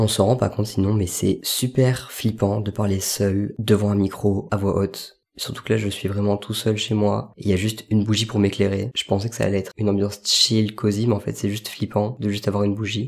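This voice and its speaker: Delivered with hardly any pauses at a fairly quick pace, a man's fairly low voice stays monotone and flat. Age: 20s. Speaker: podcast host. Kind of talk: solo podcast monologue. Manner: mumbling.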